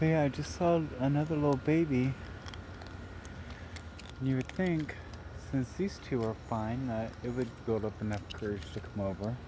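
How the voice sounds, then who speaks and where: Dry sound with no echo, a moderate pace, noticeable background noise, and long, frequent pauses. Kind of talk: casual talk to animals and viewers. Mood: gentle, affectionate. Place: garden. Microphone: phone near.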